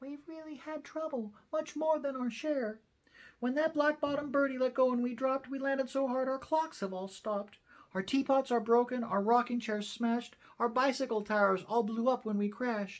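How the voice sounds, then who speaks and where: A put-on character voice, female-sounding and high in pitch, at a moderate pace. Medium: read story.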